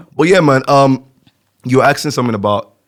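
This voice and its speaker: An animated tone with a slight Nigerian accent. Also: man. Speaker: podcast co-host. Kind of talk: casual chat.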